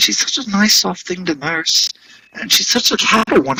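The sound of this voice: An unforced reading voice carries the text.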